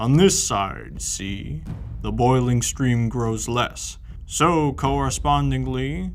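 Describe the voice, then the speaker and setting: Over clear background noise, a man uses a put-on character voice at a very slow pace. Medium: read story. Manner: grave, solemn.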